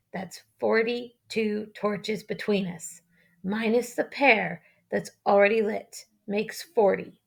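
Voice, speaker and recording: A woman puts on a raspy character voice, fairly high in pitch, speaking at a fairly slow pace with fairly even intonation in a very clean recording with a silent background. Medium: read story. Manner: blunt, plainspoken, commanding.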